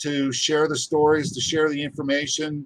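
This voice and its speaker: A man with an American accent and a fairly high pitch. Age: 60s. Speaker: geologist and gem miner. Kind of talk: interview conversation.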